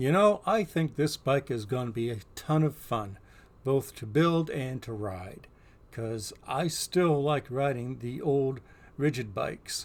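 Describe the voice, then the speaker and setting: A man with a normal speaking voice talks at a fairly slow pace. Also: medium pitch for a man, lively intonation. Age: 60s. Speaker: bike reviewer. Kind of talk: product review vlog. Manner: casual, conversational.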